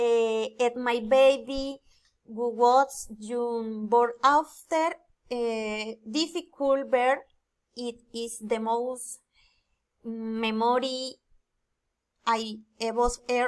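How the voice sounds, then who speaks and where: Speaking very slowly with long, frequent pauses, a woman with a high pitch and a Spanish accent keeps her intonation fairly even. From Colombia, Floridablanca, Santander. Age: 20s. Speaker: student and telemarketer. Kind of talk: student presentation, reading aloud. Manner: halting, hesitant.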